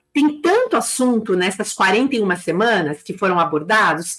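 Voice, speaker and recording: At a moderate pace, a woman with a fairly high pitch speaks in an animated tone with very wide pitch swings. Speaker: business consultant and teacher for beauty salon owners. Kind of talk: live stream talk. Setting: live stream on YouTube and Instagram.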